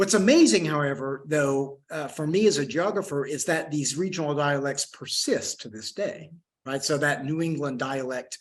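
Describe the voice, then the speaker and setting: Someone with a strong Oklahoma accent talks at a moderate pace with ordinary pitch variation. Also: man, fairly high pitch for a man. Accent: Oklahoma (Okie) accent, strong. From Western Oklahoma, US. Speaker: historian and geography professor. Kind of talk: lecture with audience Q&A. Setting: lecture room with live audience, also streamed on video call. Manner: halting, many fillers and repeated words.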